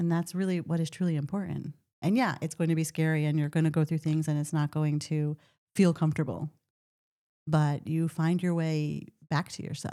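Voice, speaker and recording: A soft-spoken woman's very deep, low voice, dark and mellow in tone, monotone and flat, at a fairly quick pace on a very clean recording with a silent background. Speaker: podcast host. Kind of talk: casual chat. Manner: quiet.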